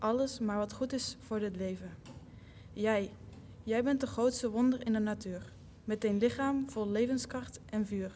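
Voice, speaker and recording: A woman speaks with a Dutch accent at a moderate pace. Her pitch is fairly high, and her intonation stays fairly even. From Netherlands. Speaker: college basketball player. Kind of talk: reading aloud.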